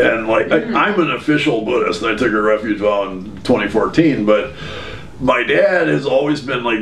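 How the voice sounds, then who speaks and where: This man's speech runs at a fairly quick pace, with noticeable background noise behind it. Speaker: former extremist turned speaker. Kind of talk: interview answer.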